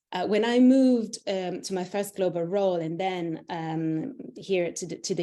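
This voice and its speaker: A woman's dark, mellow voice at a medium pitch, fairly slow, with lively intonation. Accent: Italian. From Italy. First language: Italian. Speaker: internal communications executive. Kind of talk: interview. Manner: halting, many fillers.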